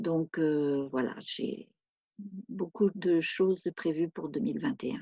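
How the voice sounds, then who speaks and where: A woman with a fairly low pitch and a dark, mellow tone speaks at a very slow pace with lively intonation, in a dry, close sound with no echo. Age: 60s. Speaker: retired author. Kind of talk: interview. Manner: halting, many hesitations.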